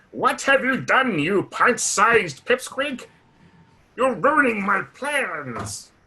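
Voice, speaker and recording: At a very slow pace, a man does a put-on character voice at an extremely high pitch. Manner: menacing, scolding.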